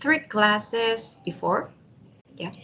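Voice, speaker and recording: A woman speaks in a Spanish accent with ordinary pitch variation. Noticeable background noise sits behind her. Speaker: university language student. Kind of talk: one-on-one language practice chat. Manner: halting.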